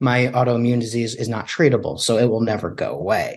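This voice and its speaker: A man with a normal speaking voice at a medium pitch. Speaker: barbecue sauce maker. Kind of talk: casual interview chat.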